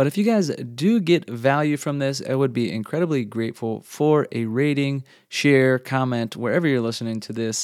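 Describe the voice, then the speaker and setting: A man speaks in a plain, everyday voice at a medium pitch and a moderate pace, with ordinary pitch variation and hardly any pauses, on a very clean recording with a silent background. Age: 30s. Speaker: podcast host, father and former Air Force member. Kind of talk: solo monologue introduction. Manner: casual with frequent fillers and repetitions.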